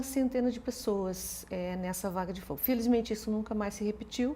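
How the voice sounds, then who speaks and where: A woman's dark, mellow voice sits at a fairly high pitch and shows ordinary pitch variation. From Portugal. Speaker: law professor. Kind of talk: interview. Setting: studio. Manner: hesitant, many repeated words.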